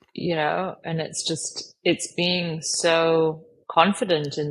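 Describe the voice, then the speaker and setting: A woman with an American accent, fairly low-pitched, in a flat monotone. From Asia. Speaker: career coach. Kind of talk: podcast interview.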